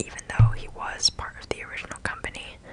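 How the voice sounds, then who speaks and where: The speech is whispered. Noticeable noise sits behind it. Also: woman. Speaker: ASMR content creator. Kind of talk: ASMR whispered show and tell. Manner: whispered, soft-spoken, rambling.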